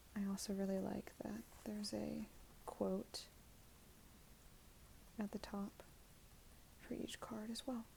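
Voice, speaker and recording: A soft-spoken woman whispers at a very slow pace. She leaves long, frequent pauses. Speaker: ASMR creator. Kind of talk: casual ASMR talk to camera. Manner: soft-spoken, whispered.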